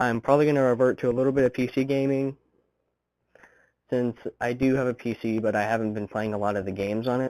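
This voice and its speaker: A man mumbles at a fairly quick pace. The sound is dry and close, with no echo. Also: very clean recording, silent background. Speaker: vlogger. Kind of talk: casual vlog monologue. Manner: mumbling, fumbles words.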